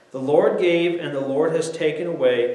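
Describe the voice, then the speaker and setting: A high-pitched man's voice at a moderate pace, with audible room echo. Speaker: preacher. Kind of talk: sermon. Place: church.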